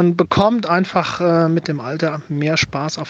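The speaker is a man with a high-pitched voice. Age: 40s. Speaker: listener voice message. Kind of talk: testimony.

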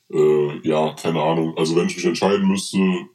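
A man talks with a very deep, low pitch. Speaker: podcast co-host, quiz master. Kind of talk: casual chat. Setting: video call.

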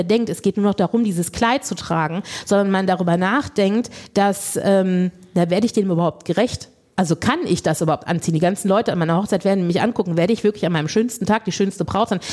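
Pitch moves in an ordinary way while loudness stays very even. The pace is very fast. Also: woman. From Lower Rhine, Germany. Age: 40s. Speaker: body positivity coach and beauty pageant organiser. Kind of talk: casual chat.

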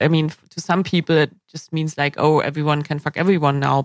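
A woman with a German accent talks at a fairly quick pace in a very deep, low pitch. The sound is dry and close, with no echo. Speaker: podcast host. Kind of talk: casual interview.

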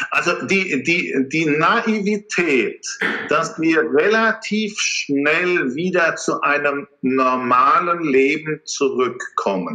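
Speaking at a very slow pace, a man with a high pitch uses lively intonation and very even loudness. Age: 50s. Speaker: capital market strategist. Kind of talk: interview.

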